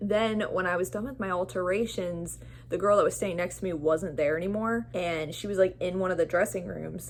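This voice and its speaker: A woman speaks with vocal fry and ordinary pitch variation, hardly pausing at all. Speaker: vlogger. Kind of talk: casual vlog monologue. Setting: apartment at home. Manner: fast, filler-heavy.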